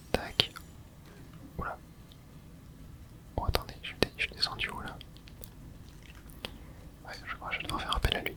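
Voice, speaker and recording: Whispering in a relaxed tone at a moderate pace, the speaker leaves long, frequent pauses over noticeable background noise. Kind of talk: ASMR gameplay commentary, relaxed talk to camera. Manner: soft, relaxed, casual.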